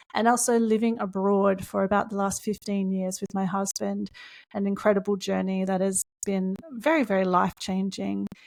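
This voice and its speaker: Speaking at a moderate pace, a woman with an Australian accent uses a medium pitch and fairly even intonation. The recording is very clean, with a silent background. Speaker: podcast co-host, spiritual coach. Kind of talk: podcast introduction chat.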